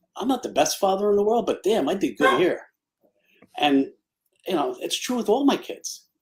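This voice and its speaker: Talking at a fairly quick pace, a man with a high pitch swings his pitch very widely. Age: 60s. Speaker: retired police officer and charity volunteer. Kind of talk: casual chat.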